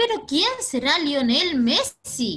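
This is a woman speaking. She has a Chilean accent. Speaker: teacher. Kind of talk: online class for children. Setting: video call. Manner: energetic. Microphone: video call.

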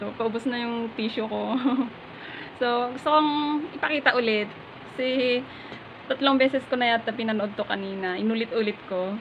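Against light background noise, a woman speaks at a moderate pace with a fairly high pitch. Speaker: vlogger. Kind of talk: casual talk to camera, reaction video. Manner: emotional, tearful. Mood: emotional, teary. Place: home room. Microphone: phone near.

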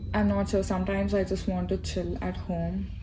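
Over noticeable background noise, a woman with an Indian accent speaks at a fairly slow pace in a very deep, low voice with lively intonation. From India, Hyderabad. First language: Telugu. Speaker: YouTuber, graduate student. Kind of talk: casual Q&A vlog. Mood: relaxed, chatty. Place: hall. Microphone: phone near.

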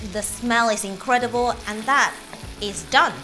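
Faint music plays in the background as a woman speaks at a moderate speed. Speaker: presenter. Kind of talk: tutorial. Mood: warm, enthusiastic. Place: kitchen. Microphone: lapel.

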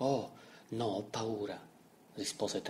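The passage is read aloud in a natural voice.

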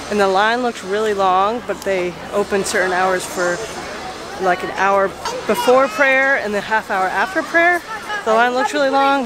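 A woman talks at a moderate pace with ordinary pitch variation. Background noise is clearly audible. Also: medium pitch for a woman.

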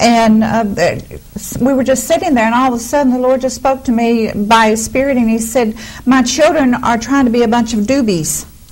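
Against noticeable background noise, a woman speaks at a high pitch and moderate pace, with very even loudness and ordinary pitch variation. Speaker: minister. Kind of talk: sermon conversation.

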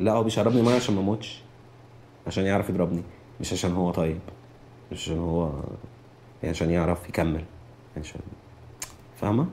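A man with an Egyptian accent and a very deep, low pitch, at a fairly quick pace with ordinary pitch variation and long, frequent pauses. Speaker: anonymous interviewee. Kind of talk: testimony, recounting the 2011 uprising as an oral-history interview. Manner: heated, fast, agitated, tumbling words with repeats; raw, angry, conversational with slang.

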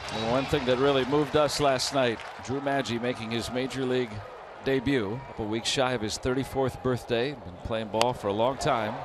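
A man at medium pitch and moderate pace, with noticeable background noise. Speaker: baseball broadcaster. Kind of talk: live sports commentary, analyst banter. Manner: upbeat, conversational, excited on homers.

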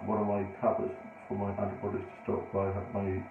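Over light background noise and audible room echo, a man talks at a fairly quick pace with a fairly low pitch. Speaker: vlogger. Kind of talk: casual vlog chat. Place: home room. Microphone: phone near.

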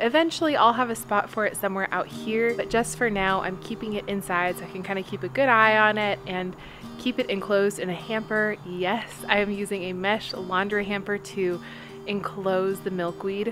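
A woman at a moderate pace with ordinary pitch variation, clear music playing behind her. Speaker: home vlogger. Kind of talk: casual vlog chat. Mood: cheerful, enthusiastic. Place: garden. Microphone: phone near.

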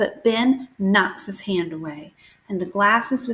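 With ordinary pitch variation, the clip is plain reading aloud.

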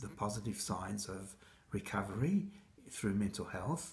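A man with an Australian accent speaks at a moderate pace in a fairly low, somewhat breathy voice. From Egypt, raised in Australia from age six. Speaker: mental health consumer advocate. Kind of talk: speaker self-introduction to camera. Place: kitchen. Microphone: phone near.

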